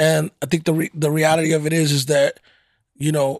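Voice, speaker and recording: The man has an American accent and a fairly high pitch. He speaks at a moderate pace. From Fort Worth, Texas. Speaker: podcast host. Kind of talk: casual interview. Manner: conversational, slightly stumbling.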